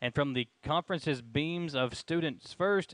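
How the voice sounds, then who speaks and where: The voice belongs to a man. The sound is dry with no echo, over a quiet background. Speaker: sports show co-host. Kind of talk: commentary. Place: hall. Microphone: headset.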